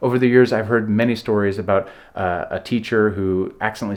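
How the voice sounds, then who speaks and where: With an American accent, a man is talking. He keeps a fairly quick pace. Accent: American accent, noticed by locals. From United States. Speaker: vlogger. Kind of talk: casual vlog talk to camera. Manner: conversational, some repetitions and fillers.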